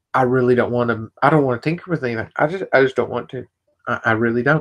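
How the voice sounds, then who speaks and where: Soft-spoken, a man talks in a dry, close sound with no echo. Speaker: vape product reviewer. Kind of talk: live stream casual talk. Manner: quiet, talking softly; halting, many repetitions.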